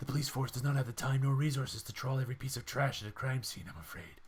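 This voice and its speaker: Using a put-on character voice, a man rattles along at a very fast pace in a medium pitch. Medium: game stream. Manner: formal, stiff.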